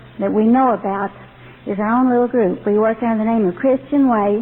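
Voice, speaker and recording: With a slight Texas accent, a woman speaks at a moderate pace in a fairly high voice with ordinary pitch variation, over noticeable background noise. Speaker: ex-member ministry director. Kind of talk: testimony.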